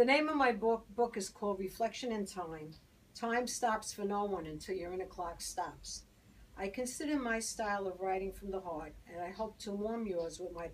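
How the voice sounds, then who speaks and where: A woman speaks with a Brooklyn accent. Her pitch sits in the medium range. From Brooklyn, New York. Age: 60s. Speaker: poet. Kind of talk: poetry reading.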